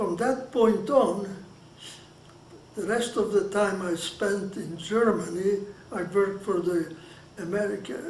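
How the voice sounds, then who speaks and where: A man's high-pitched voice in a Hungarian accent, ordinary pitch variation, noticeable background noise and audible room echo. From Hungary. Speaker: Holocaust survivor. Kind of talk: oral history interview. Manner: halting, with many restarts.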